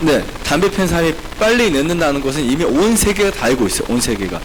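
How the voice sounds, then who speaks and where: A man talks at a very fast pace with very wide pitch swings, over noticeable background noise and audible room echo. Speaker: health lecturer, clinic director. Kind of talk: health seminar lecture in church. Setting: church seminar with audience.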